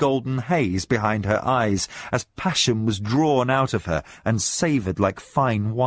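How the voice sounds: This natural reading voice carries ordinary pitch variation.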